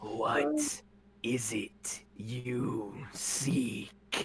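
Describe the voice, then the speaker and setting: A booming, growling, put-on character voice. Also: man, medium pitch for a man. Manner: menacing, commanding.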